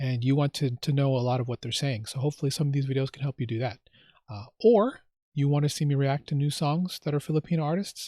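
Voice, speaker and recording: A man with an American accent and fairly high pitch speaks at a very fast pace in a somewhat breathy voice with a dark, mellow tone, on a very clean recording with a silent background and a dry, close sound with no echo. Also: ordinary pitch variation. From United States. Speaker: YouTube reaction host. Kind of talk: casual vlog intro. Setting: outdoors in front of a bus. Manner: halting, with fillers and repeats.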